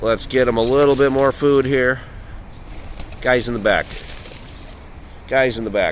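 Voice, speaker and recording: A man speaks at a medium pitch in a flat, monotone way, with very even loudness. He leaves long, frequent pauses, and there is noticeable background noise. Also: moderate pace. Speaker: pigeon-feeding video creator. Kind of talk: casual vlog narration. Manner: chatty, playful.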